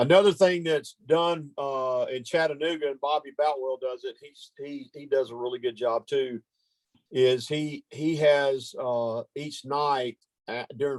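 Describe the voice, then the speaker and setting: In a Southern US accent, a man speaks fairly slowly at a fairly high pitch, with big swings in loudness and a dry, close sound with no echo. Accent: southern US drawl. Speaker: ministry training leader. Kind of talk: training meeting.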